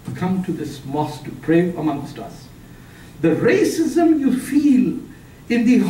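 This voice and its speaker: With a Punjabi accent, a man speaks at an extremely high pitch and a fairly slow pace, with audible room echo and noticeable background noise. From Pakistan. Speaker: author and public speaker. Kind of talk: lecture. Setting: seminar room with audience.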